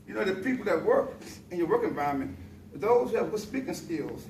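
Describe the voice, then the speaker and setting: A man talking very fast, with noticeable background noise and audible room echo. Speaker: public speaking club member. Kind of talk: prepared speech.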